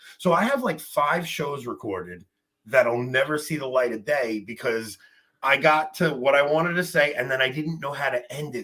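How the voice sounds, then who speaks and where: A man speaks with a New York accent and a fairly high pitch. His tone is bright and sharp, and his intonation lively. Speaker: podcaster. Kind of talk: casual chat.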